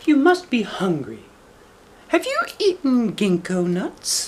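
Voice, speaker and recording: A man uses a put-on character voice at an extremely high pitch. He speaks at a fairly slow pace with very wide pitch swings. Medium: read story. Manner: careful, clever.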